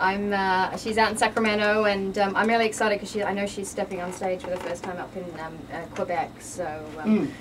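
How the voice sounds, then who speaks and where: Over noticeable background noise, a woman speaks at a fairly quick pace with an Australian accent. Her pitch is medium and her intonation is fairly even. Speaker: fitness model and bikini competitor. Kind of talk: radio interview. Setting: studio. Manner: fast.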